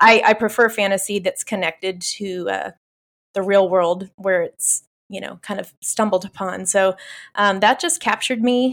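Speaking at a moderate pace, a woman of medium pitch uses a plain, everyday voice with fairly even intonation on a very clean recording with a silent background. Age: 50s. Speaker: author. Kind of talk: interview.

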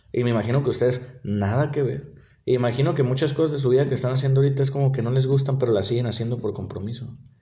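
Somewhat breathy and very fast, a man speaks with fairly even intonation amid audible room echo. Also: medium pitch for a man. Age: 20s. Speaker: delivery worker podcaster. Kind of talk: casual monologue. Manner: halting, repetitive.

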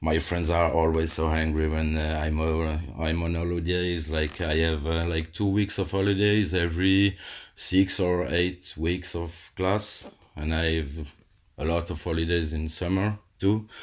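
The voice has a French accent and a monotone, flat intonation at a fairly slow pace. The recording is very clean with a silent background. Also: man, very deep, low pitch for a man. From Alsace, eastern France. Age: 30s. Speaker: calligrapher and teacher. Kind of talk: casual interview. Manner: halting, many fillers.

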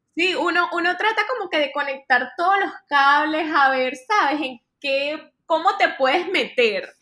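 A woman's raised, projected voice at an extremely high pitch, bright and sharp in tone, with lively intonation, a fairly slow pace, and hardly any pauses. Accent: Venezuelan. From Venezuela, Maracay. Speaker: fashion influencer. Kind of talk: casual interview.

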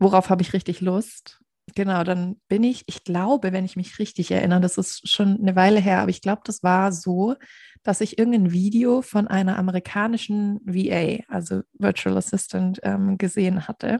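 A woman's somewhat breathy, medium-pitched voice with a dark, mellow tone, fairly even intonation and a moderate pace, in a very clean recording with a silent background and a dry, close sound with no echo. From southern Germany, near Stuttgart (Swabia). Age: 20s. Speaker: podcast co-host, virtual assistant. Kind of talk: casual chat.

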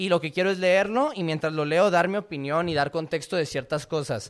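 A man with a plain, everyday voice, fairly high pitch and ordinary pitch variation at a fairly quick pace, on a very clean recording with a silent background. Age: 20s. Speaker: podcast host, fitness coach. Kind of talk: solo podcast monologue, reading and commenting an article.

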